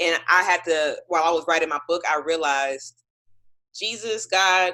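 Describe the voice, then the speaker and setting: A woman with an American accent speaks in a bright, sharp, animated tone. Her pace is moderate, and her pitch varies in an ordinary way. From Texas, Houston. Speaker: singer and author. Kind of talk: casual interview.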